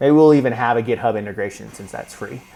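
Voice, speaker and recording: A man at medium pitch, very fast, with ordinary pitch variation. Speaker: startup founder building AI products. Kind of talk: screen-recorded work session vlog.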